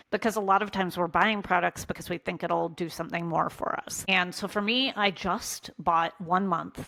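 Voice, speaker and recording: A woman in a normal speaking voice keeps a medium pitch, fairly even intonation and a moderate pace. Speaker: content creator and small business coach. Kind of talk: casual vlog tutorial.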